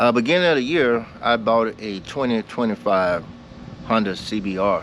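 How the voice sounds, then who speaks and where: Background noise is noticeable here. A man speaks at a moderate speed. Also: medium pitch for a man, ordinary pitch variation. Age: 70s. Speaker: motorcycle vlogger. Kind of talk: casual vlog storytelling.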